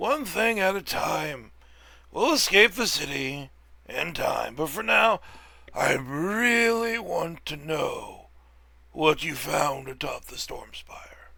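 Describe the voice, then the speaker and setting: Putting on a character voice, a man speaks very slowly in a raspy, high-pitched tone. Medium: actual play. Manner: inquisitive, pressing.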